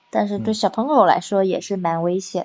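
This is a woman speaking. Her pace is fairly slow. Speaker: office worker. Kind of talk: casual chat.

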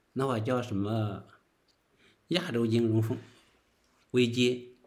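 The speech moves at a very slow pace. Audible room echo can be heard. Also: man. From northern China. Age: 40s. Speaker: interview guest sharing life story. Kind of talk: casual interview. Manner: halting, many filler words.

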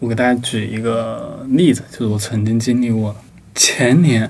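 Here is a man with an unremarkable speaking voice at a medium pitch. He speaks at a moderate pace with fairly even intonation. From Sichuan, China (rural). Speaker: book review editor. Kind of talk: casual chat.

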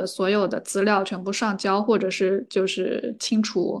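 A woman talks at a fairly slow pace in a medium pitch. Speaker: podcaster and counselor. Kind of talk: casual chat.

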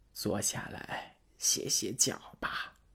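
A man puts on a character voice that is hoarse and raspy. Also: extremely high pitch for a man. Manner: feigning friendliness.

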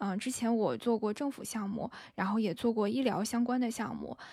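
A soft-spoken woman with a fairly high pitch and a dark, mellow tone, on a very clean recording with a silent background. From northern China. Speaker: podcast host, guest on another show. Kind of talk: casual chat.

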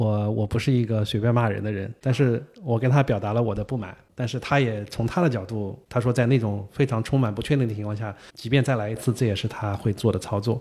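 A man's somewhat breathy, dark, mellow voice at a medium pitch, fairly quick pace with hardly any pauses, fairly even intonation, and a very clean recording with a silent background. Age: 50s. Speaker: tennis journalist. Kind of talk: casual interview.

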